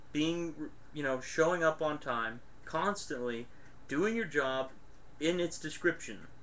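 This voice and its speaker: A man speaks loudly, with a bright, sharp tone and ordinary pitch variation. His pace is fairly slow. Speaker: webcam vlogger. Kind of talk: casual advice vlog. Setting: webcam recording. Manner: loud, projected voice.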